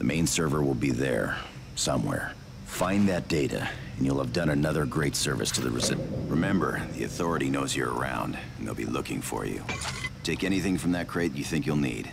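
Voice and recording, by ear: Over clear background noise, a man does a put-on character voice at extremely low pitch, with vocal fry, lively intonation and a fairly quick pace.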